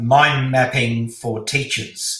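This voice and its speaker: A man's voice comes with audible room echo. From Poland. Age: 60s. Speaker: speed reading teacher. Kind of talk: interview.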